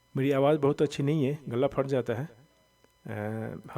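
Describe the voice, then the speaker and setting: The man's dark, mellow tone carries fairly even intonation. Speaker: Quran reading teacher. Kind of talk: tutorial.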